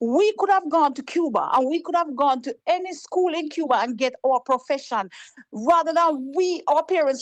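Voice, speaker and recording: With a Jamaican accent, a woman talks in a high voice and an animated tone. The sound is dry and close, with no echo. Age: 60s. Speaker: caller. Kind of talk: call-in political talk.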